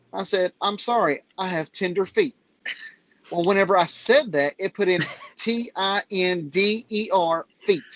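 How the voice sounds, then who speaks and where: The speaker has a Southern accent and talks at a fairly slow pace. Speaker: live stream participant. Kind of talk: casual chat.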